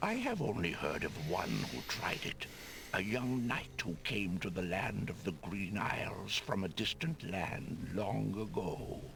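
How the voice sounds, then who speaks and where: A man's put-on character voice, very deep and low, fairly slow, with loud background noise. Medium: video game. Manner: solemn, formal.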